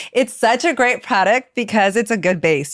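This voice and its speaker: In an American accent, a woman with an unremarkable speaking voice talks at a fairly quick pace with lively intonation. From East Los Angeles. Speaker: celebrity hairstylist and salon owner. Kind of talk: podcast interview, casual chat.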